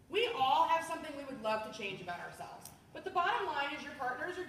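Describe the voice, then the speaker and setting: A woman speaks very fast with an American accent, her pitch swinging very widely and her loudness rising and falling in big swings. The tone is animated, and audible room echo surrounds her. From US, Washington DC area. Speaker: sales trainer. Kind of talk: training demo of a sales party.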